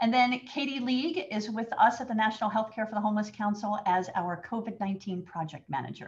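The woman moves at a fairly quick pace. Her pitch shifts in an ordinary way. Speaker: webinar moderator. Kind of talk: webinar introduction. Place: home room. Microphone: webcam.

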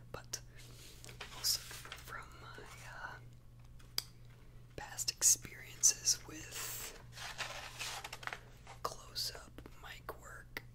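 There is noticeable background noise as a man speaks at a very slow pace. He leaves long, frequent pauses. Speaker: ASMR creator. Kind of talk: ASMR whisper ramble. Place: home room. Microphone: studio mic.

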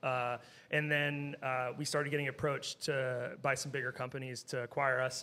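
A man at a moderate pace, fairly high in pitch with fairly even intonation. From Southern California. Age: 40s. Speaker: brewery co-founder. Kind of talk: casual chat. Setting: studio. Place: shop. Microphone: studio mic.

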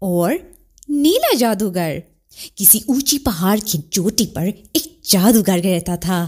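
A woman's dark, mellow, somewhat breathy voice with very wide pitch swings. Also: very clean recording, silent background. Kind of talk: children's story narration.

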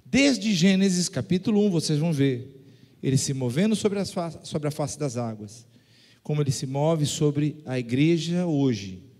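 The man's dark, mellow tone carries lively intonation. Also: moderate pace, quiet background. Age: old. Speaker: pastor. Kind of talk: sermon. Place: church. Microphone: handheld.

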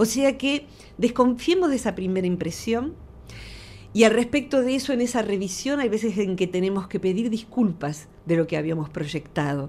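A woman's medium-pitched voice, dark and mellow in tone and somewhat breathy, moves in very wide pitch swings. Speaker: psychologist; radio guest. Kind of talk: radio interview. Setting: studio. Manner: slow.

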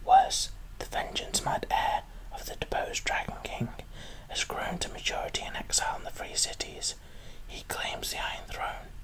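A soft-spoken man whispers at a moderate pace. Light background noise can be heard. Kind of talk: role-play monologue to viewer. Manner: soft close whisper reading aloud. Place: home room. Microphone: webcam.

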